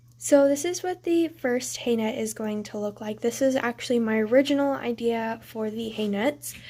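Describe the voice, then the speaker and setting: Her voice sits fairly high for a woman, with a dark, mellow tone, a moderate pace and hardly any pauses. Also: ordinary pitch variation. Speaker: model horse hobbyist youtuber. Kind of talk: tutorial. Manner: hesitant, many filler ums.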